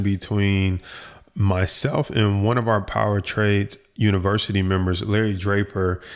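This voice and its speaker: Speaking at a moderate pace, this man has a fairly low pitch. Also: very clean recording, silent background. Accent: American. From Detroit, US. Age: young. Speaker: podcast host and stock market coach. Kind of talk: casual interview chat; podcast intro/outro.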